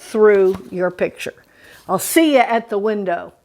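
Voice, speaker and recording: A woman's ordinary speaking voice at a fairly slow pace, with ordinary pitch variation. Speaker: art teacher. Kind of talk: tutorial.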